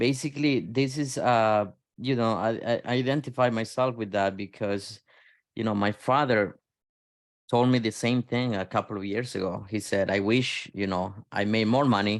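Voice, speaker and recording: This man has an ordinary speaking voice, medium in pitch, with fairly even intonation and a moderate pace against a quiet background. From outside the US. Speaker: podcast host. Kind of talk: podcast interview.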